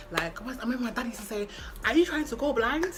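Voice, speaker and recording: An animated woman's voice amid audible room echo and noticeable background noise. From London, England. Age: 20s. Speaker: lifestyle vlogger. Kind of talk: casual chat.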